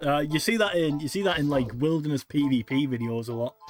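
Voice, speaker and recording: Spoken at a moderate pace in a northern English accent, with music playing in the background. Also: man. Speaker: gaming streamer. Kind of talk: casual livestream commentary. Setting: live stream. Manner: loud.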